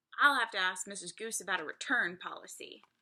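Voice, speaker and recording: A woman's put-on character voice, rumbling and gruff, at a very fast pace. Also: medium pitch for a woman. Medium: read story. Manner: gruff, grumbling.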